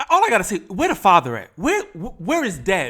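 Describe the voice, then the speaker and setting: Raised and projected, a man's bright, sharp voice moves at a fairly quick pace with an animated tone and very wide pitch swings. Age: 50s. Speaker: YouTube reaction commentator. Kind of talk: reaction commentary.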